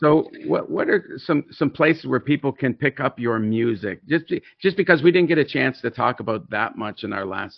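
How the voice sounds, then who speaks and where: Lively intonation from a man with vocal fry, at a moderate pace. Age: 50s. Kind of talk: casual faith conversation. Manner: animated, preachy.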